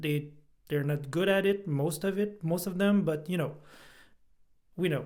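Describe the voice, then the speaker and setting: There is audible echo from the room. A man speaks with fairly even intonation. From Quebec. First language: French. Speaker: podcast guest. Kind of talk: casual chat. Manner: halting.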